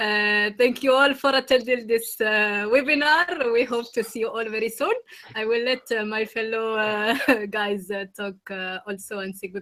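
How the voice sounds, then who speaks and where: This woman's voice has a bright, sharp tone and a fairly high pitch. She talks at a moderate pace with ordinary pitch variation. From Morocco. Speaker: medical student association representative. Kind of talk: webinar closing remarks. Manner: halting.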